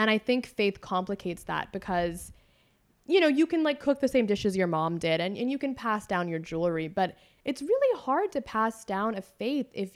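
An ordinary speaking voice with a General American accent talks at a moderate pace with lively intonation. The recording is very clean, with a silent background. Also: woman. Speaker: journalist and writer. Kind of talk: casual interview conversation.

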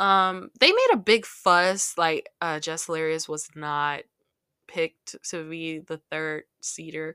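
Over a very clean, silent background, a woman with a fairly low pitch and a bright, sharp tone talks at a very slow pace with big swings in loudness, the sound dry and close with no echo. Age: 20s. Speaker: podcast host. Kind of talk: casual chat. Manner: animated.

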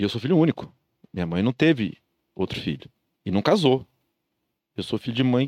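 Recorded very cleanly against a silent background, with a dry, close sound and no echo, a man speaks at medium pitch and a fairly quick pace, taking long, frequent pauses, his pitch swinging very widely. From interior of São Paulo state, Brazil. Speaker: entrepreneur. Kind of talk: casual chat.

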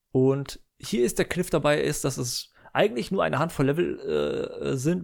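Recorded very cleanly with a silent background, a man is speaking. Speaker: gaming podcaster. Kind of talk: solo casual monologue. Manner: halting, many filler sounds.

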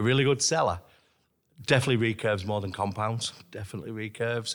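Spoken with a Lancashire accent, the voice keeps a fairly even intonation on a very clean recording with a silent background. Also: man. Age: 50s. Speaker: archery shop owner and archer. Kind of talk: interview.

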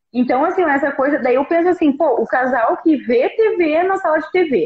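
A woman is speaking. Her pitch swings very widely. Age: 40s. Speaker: live stream co-host, mother. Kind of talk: casual chat. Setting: live stream.

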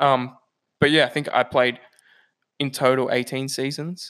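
A man talks at a moderate pace with an Australian accent, his pitch fairly high and his intonation monotone and flat. The recording is very clean, with a silent background. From Australia, New South Wales. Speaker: civil engineer. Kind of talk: casual chat.

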